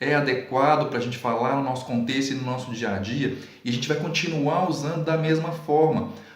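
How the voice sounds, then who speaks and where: A man with a fairly high pitch and ordinary pitch variation, amid audible room echo and noticeable background noise. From Brazil, Minas Gerais. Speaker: Portuguese writing teacher. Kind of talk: video lesson. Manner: careful, standard-leaning pronunciation.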